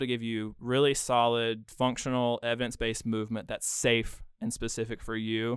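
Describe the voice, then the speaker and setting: A man with an American accent and a medium pitch, on a very clean recording with a silent background. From Western North Carolina, Bryson City. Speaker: physical therapist. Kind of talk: casual interview.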